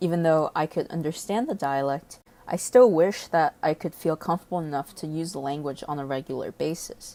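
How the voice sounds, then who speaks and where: Very deep and low in pitch, a woman with a Mandarin accent speaks fairly quickly in a dark, mellow tone with ordinary pitch variation and hardly any pauses, in a very clean recording with a silent background. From China (Shanghai). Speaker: student. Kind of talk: scripted narration.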